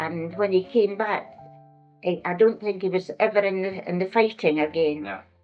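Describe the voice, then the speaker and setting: With music in the background, a woman in a Scottish accent speaks at medium pitch and a moderate pace with ordinary pitch variation. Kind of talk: interview answer. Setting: old tape recording.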